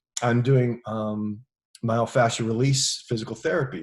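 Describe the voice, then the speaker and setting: A man with an American accent talks at a moderate pace in a medium pitch. His voice is somewhat breathy, with ordinary pitch variation. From United States. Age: 60s. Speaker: actor and stunt performer. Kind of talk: casual interview chat. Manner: halting with many fillers.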